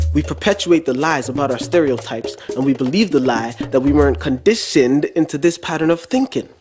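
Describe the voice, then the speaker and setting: A man speaking at a fairly quick pace with hardly any pauses, music in the background. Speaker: spoken word poet. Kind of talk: spoken word poetry performance.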